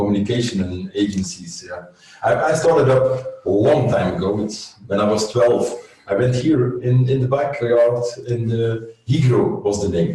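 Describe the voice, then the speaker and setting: With a Flemish accent, a man speaks at a medium pitch with lively intonation, over noticeable background noise and audible room echo. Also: moderate pace. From Flanders, Belgium. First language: Dutch (Flemish). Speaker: agency owner. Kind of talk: interview. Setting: video call webinar. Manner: halting, searching for words.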